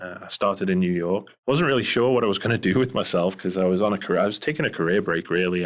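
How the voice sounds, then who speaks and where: A man's very deep, low voice with a Scouse accent and ordinary pitch variation. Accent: Liverpool (Scouse) English accent, noticeable. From England, Liverpool. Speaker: private investigator, former police officer. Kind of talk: interview conversation. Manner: hesitant, many fillers.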